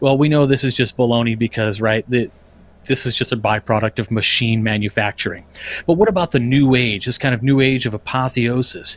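An unremarkable speaking voice moves at a fairly quick pace with fairly even intonation, the sound dry and close with no echo. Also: man, medium pitch for a man. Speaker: podcast panelist giving a lodge education presentation. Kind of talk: casual, conversational lecture style.

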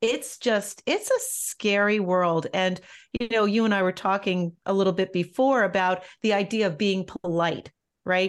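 Against a quiet background, an unremarkable speaking voice moves at a fairly slow pace with fairly even intonation and very even loudness. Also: woman, medium pitch for a woman. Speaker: nonprofit leader and caregiver. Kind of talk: interview.

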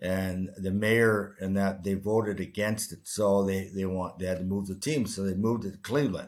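This is an ordinary speaking voice: a man with a Canadian accent and fairly low pitch, at a moderate pace with fairly even intonation. He takes hardly any pauses, and the recording is very clean with a silent background. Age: 60s. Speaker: retired hockey player. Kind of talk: interview.

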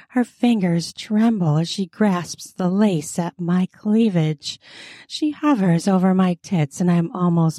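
Read aloud in a natural voice, with ordinary pitch variation.

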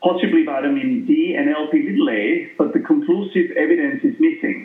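Very wide pitch swings from a man. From Austria. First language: German. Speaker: cardiologist and lipid specialist. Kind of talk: interview.

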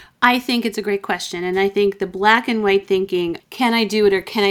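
At a moderate pace and medium pitch, a woman talks with fairly even intonation in an ordinary speaking voice. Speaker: business coach. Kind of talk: interview conversation.

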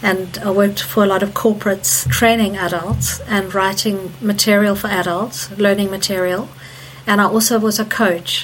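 A woman talks at a moderate pace with a medium pitch and fairly even intonation. Noticeable background noise runs behind her. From Zimbabwe. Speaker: energy healer. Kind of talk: interview. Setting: remote call.

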